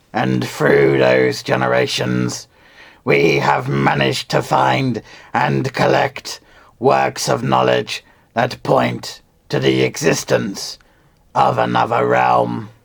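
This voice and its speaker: A man's raspy, put-on character voice, very deep and low, with ordinary pitch variation, very even loudness and a very slow pace. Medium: read story. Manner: formal, smoothly insistent.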